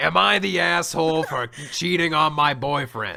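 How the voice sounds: Put-on character voice from a man, fairly high-pitched, over clear background noise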